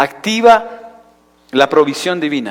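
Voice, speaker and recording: A man speaks with a Chilean accent. His pitch swings very widely. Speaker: pastor. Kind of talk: sermon. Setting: church.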